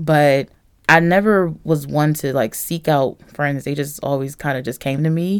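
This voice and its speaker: With an American accent, a woman speaks at a fairly slow pace in a very deep, low pitch. The recording is very clean, with a silent background. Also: ordinary pitch variation. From North Philadelphia. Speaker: church member. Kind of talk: interview, personal testimony.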